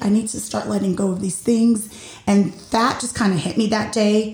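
A loud woman's voice. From Puerto Rico, partly raised in the US. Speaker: podcast host. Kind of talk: solo personal monologue.

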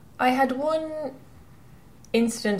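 At a moderate pace, a woman with a western Irish accent speaks with ordinary pitch variation. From Ireland, County Mayo. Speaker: professional offshore sailor. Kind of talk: interview.

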